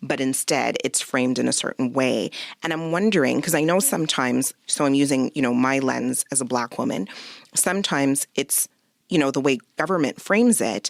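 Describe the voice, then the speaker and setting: A woman with a Canadian accent speaks at a moderate pace with a very deep, low pitch and lively intonation, the sound dry and close with no echo. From Quebec, Canada. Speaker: podcast host, physician. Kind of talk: interview conversation.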